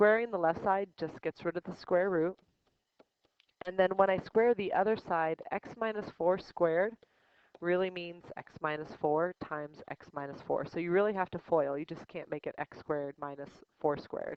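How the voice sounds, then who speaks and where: A woman speaks in a plain, everyday voice, fairly low in pitch, with ordinary pitch variation. Her pace is moderate and her loudness swings widely. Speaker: high school math teacher. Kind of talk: tutorial.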